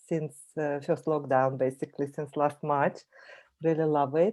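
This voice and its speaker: With a Russian accent, a woman speaks in a very deep, low pitch and a dark, mellow tone. Her intonation is fairly even against a quiet background. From Russia (Voronezh). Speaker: language teacher and coach. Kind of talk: presentation.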